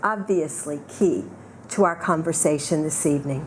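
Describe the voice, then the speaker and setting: Fairly slow speech in an American accent, with audible room echo and noticeable background noise. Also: woman. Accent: Southern US, thick when unscripted. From US South. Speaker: keynote speaker. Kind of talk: reading prepared lecture.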